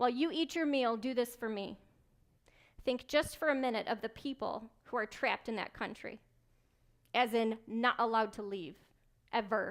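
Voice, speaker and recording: A woman with an American accent at a fairly high pitch and a moderate pace, with long, frequent pauses, in a very clean recording with a silent background. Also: ordinary pitch variation. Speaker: keynote speaker, military intelligence officer. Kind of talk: motivational keynote speech. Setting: live event, banquet room. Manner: dynamic, humorous, direct.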